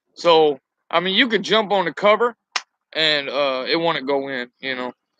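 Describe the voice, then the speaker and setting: Against a quiet background, a man's loud voice with a bright, sharp tone comes at a fairly quick pace with lively intonation, in a dry, close sound with no echo. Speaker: truck driver. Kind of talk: casual chat. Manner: halting, many fillers.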